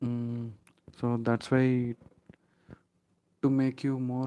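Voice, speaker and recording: A man talks at a very slow pace with a dark, mellow tone and medium pitch. His intonation is monotone and flat. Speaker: online IT trainer. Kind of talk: live online class. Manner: hesitant, many fillers.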